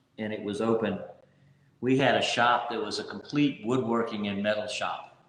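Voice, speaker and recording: This man speaks at a medium pitch with fairly even intonation. Audible room echo surrounds his voice. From Louisiana. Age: 60s. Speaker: local businessman and soccer referee. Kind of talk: interview.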